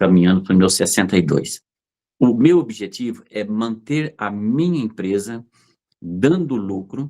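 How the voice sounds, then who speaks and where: A dark, mellow voice with lively intonation moves at a fairly slow pace. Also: man, fairly low pitch for a man. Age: 60s. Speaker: fruit and vegetable business owner. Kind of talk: interview storytelling. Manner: animated, hesitant repetitions.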